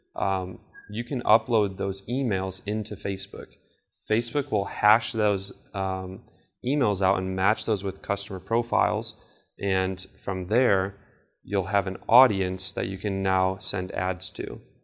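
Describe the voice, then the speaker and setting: A man's plain, everyday voice, fairly low in pitch, at a fairly slow pace with fairly even intonation, on a very clean recording with a silent background. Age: 20s. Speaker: marketing seminar presenter. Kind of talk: lecture.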